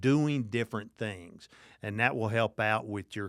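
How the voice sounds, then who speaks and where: A man with a Southern accent at a medium pitch, fairly slow in pace, with ordinary pitch variation, on a very clean recording with a silent background. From Kentucky, small town. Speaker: addiction recovery expert and Air Force veteran. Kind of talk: interview.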